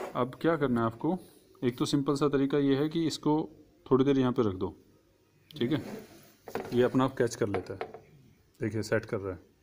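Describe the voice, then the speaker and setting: With light background noise, a man speaks at a moderate pace, pausing long and often, his pitch varying in an ordinary way. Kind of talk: tutorial. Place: hall. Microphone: phone near.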